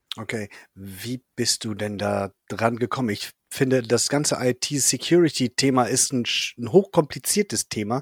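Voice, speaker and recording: Heard dry and close with no echo on a very clean recording over a silent background, a plain, everyday voice moves at a moderate pace with lively intonation. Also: man. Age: 40s. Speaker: podcast host. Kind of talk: casual interview.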